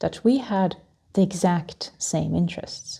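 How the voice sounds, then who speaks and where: A woman speaks at a medium pitch and moderate pace in a calm, soothing tone. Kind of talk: calming travel talk for flyers.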